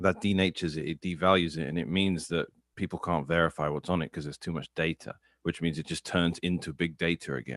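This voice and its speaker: Very fast and with vocal fry, a man speaks in a very deep, low pitch with fairly even intonation. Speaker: Bitcoin commentator. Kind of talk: casual chat.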